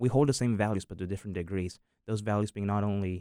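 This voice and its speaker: On a very clean recording with a silent background, a man with an American accent talks very fast at a fairly low pitch. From US South. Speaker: university student. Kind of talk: casual discussion.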